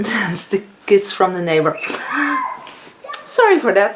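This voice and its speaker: A woman with a Dutch accent over noticeable background noise. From Netherlands. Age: 50s. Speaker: beauty vlogger. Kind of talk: casual vlog talk. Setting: home, filming with ring light.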